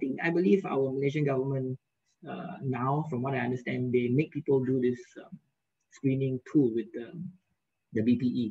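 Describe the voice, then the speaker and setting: A man talks at a moderate pace in a dark, mellow tone, his medium-pitched voice somewhat breathy, with ordinary pitch variation. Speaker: periodontist giving a webinar lecture. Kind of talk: lecture. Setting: video call.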